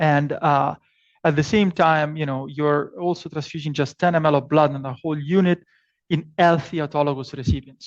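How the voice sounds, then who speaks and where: Speaking at a fairly quick pace, a man with an Italian accent uses a fairly high pitch and fairly even intonation over a quiet background. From Italy. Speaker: professor. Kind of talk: lecture. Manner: hesitant, many fillers and repetitions.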